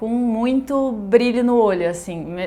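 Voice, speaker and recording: A woman has an unremarkable speaking voice with ordinary pitch variation. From southern Brazil, Rio Grande do Sul interior and Porto Alegre. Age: 30s. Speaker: vegan pastry school founder. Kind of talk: personal life story interview.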